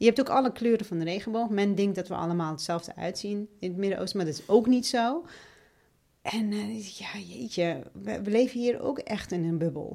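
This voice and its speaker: A woman speaks at a medium pitch and moderate pace, her dark, mellow tone carrying lively intonation and big swings in loudness. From Iraq (Basra and Baghdad). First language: Arabic (speaking Dutch). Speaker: member of parliament. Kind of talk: interview.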